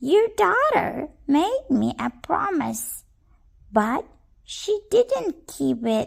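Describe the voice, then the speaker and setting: In a put-on character voice, the speaker talks at a very slow pace with a high pitch. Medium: read story.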